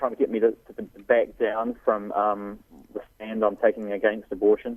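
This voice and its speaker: A man with a New Zealand accent at a moderate pace. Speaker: pro-life activist. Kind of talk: radio interview.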